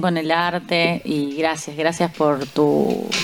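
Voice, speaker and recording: With music in the background, a woman talks at a very slow pace in a fairly low pitch with ordinary pitch variation. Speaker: radio host and sommelier. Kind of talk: radio talk show. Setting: radio studio.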